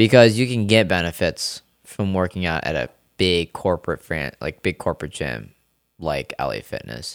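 A man with an American accent speaks at a moderate pace in a very deep, low pitch with vocal fry. The recording is very clean with a silent background and a dry, close sound with no echo. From US, Rochester, New York area. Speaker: natural bodybuilder and personal trainer. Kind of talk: casual interview. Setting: studio. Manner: animated.

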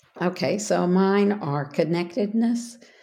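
In a Texan accent, a woman talks at a medium pitch with a dark, mellow tone. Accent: Texan American. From Texas. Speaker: ministry worker. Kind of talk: casual interview.

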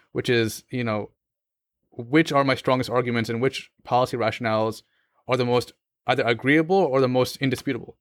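A man in an ordinary speaking voice talks at a fairly quick pace and medium pitch with fairly even intonation, the sound dry and close with no echo on a very clean recording with a silent background. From US, Pakistani family. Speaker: law student. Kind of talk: casual interview conversation.

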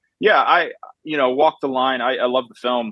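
This man has an ordinary speaking voice. He talks at a moderate speed with a medium pitch. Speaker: film director or filmmaker. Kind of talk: interview.

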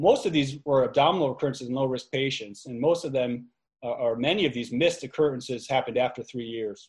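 Against a quiet background, a somewhat breathy man of medium pitch speaks at a very fast pace with ordinary pitch variation. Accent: American. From New York area. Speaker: urologic oncologist. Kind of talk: lecture. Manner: hesitant, many fillers.

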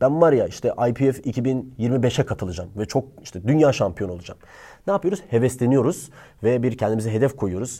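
On a very clean recording with a silent background, a man speaks at a moderate pace, his pitch medium and his tone dark and mellow. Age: 20s. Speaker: YouTuber giving book recommendations. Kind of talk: casual monologue to camera.

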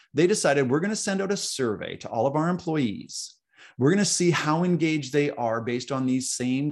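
Against a quiet background, the voice moves at a fairly quick pace with lively intonation and an energetic, animated tone. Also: man. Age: 50s. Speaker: author and executive coach. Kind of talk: casual interview. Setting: call.

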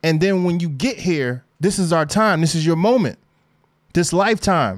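A man with a high pitch and ordinary pitch variation talks at a moderate pace on a very clean recording with a silent background. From New Jersey, Newark. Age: 30s. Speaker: podcast host. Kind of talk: solo podcast monologue. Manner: laid-back, conversational; animated, laughing.

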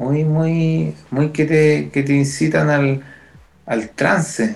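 A man speaks in a Chilean accent. His pace is very slow. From Chile, Quilpué (Valparaíso region). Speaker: musician, percussionist. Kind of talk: casual chat.

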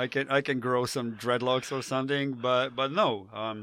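A man with a Slavic accent, a bright, sharp tone and fairly even intonation. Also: very clean recording, silent background. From Slovenia. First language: Slovenian. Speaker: professional skydiver. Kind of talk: casual chat.

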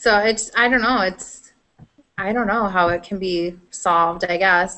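A woman speaks with a Midwestern US accent. Her pace is fairly slow and her intonation fairly even. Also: medium pitch for a woman. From Iowa, US Midwest. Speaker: gaming podcast host. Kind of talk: casual chat.

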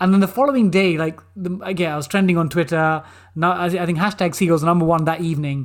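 A man with a London accent and a high pitch at a very fast pace, on a very clean recording with a silent background. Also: ordinary pitch variation. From East London, England. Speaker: former banker and quiz show contestant. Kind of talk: interview. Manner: animated.

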